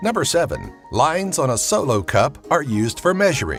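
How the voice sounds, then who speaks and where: A man speaks at a moderate pace with very wide pitch swings as music plays in the background. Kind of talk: top ten list narration.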